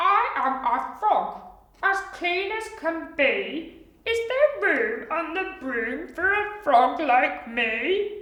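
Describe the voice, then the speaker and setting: A put-on character voice, croaky and extremely high in pitch, with very wide pitch swings, a very slow pace and a slight echo. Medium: read story.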